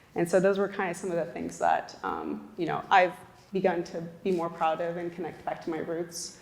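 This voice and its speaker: Over noticeable background noise, a woman speaks with an American accent. Her fairly low voice holds a monotone, flat intonation at a moderate pace. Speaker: panelist. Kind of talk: panel discussion.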